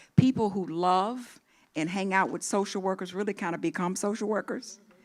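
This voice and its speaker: A woman talks at a moderate pace, her medium pitch showing ordinary pitch variation. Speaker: social work dean. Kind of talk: ceremonial speech. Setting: auditorium with live and online audience. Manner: loud.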